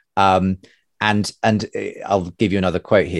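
On a very clean recording with a silent background, a man with a plain, everyday voice speaks at a fairly low pitch and a moderate pace. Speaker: podcast host. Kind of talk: literary sermon reading, quoting Lewis aloud.

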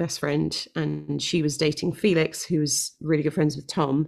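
In a London accent, a woman speaks slowly-ish with a very deep, low pitch and vocal fry, on a very clean recording with a silent background. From North London. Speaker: worship leader and singer-songwriter. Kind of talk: casual interview.

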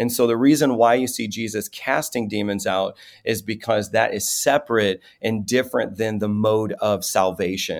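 A man with an American accent and an unremarkable speaking voice, medium in pitch, with fairly even intonation at a moderate pace, in a very clean recording with a silent background. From US Midwest, South Chicago. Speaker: pastor and deliverance minister. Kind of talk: casual chat.

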